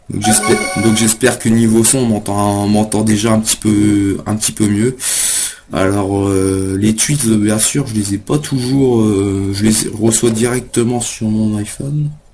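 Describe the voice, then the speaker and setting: A man speaks at a fairly low pitch and a fairly slow pace. Noticeable background noise is present. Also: fairly even intonation. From northern France. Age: 20s. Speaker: poet. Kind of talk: casual chat. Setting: live webcam stream. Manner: halting.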